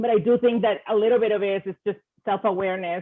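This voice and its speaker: Keeping to a moderate pace, a woman is talking. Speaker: engineer, corporate manager. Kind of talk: panel discussion. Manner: loud.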